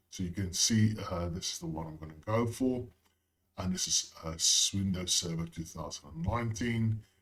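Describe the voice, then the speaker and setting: Speaking at a moderate pace, a man with a fairly low, somewhat breathy voice shows big swings in loudness. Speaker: IT tutorial creator. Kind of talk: tutorial. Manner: casual, with frequent fillers.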